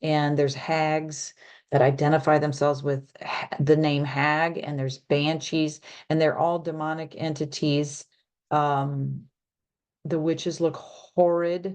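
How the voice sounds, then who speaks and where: A woman's monotone, flat delivery at a fairly slow pace over a quiet background. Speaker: spiritual channel host. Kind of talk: solo video talk from notes. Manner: hesitant, many fillers.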